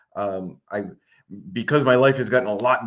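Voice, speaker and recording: A man with an unremarkable speaking voice talks at a fairly quick pace. His intonation is fairly even, and the background is quiet. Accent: American. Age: 60s. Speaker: state senator. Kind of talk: interview.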